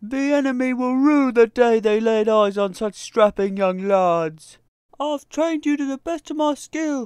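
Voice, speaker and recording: A put-on character voice at a fairly high pitch and moderate pace, on a very clean recording with a silent background. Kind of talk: comedy skit. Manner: barking, commanding.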